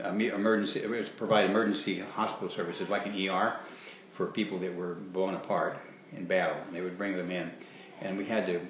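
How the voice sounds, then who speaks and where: A man talks at a fairly quick pace with fairly even intonation. Noticeable background noise runs under his voice. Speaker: war veteran. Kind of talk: interview answer.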